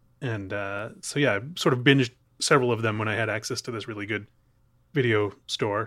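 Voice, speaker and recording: A man with an American accent has a plain, everyday voice and fairly even intonation. He goes at a fairly quick pace on a very clean recording with a silent background. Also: medium pitch for a man. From Chicago, US Midwest. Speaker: film podcaster. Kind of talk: casual chat.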